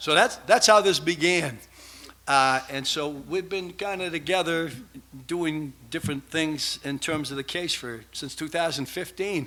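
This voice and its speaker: A bright, sharp tone in a Boston accent, fairly slow, with ordinary pitch variation. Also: man, fairly high pitch for a man. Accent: Boston accent, noticeable. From Massachusetts, south of Boston. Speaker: researcher, conference speaker. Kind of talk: conference presentation. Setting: stage with audience. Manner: casual, improvised.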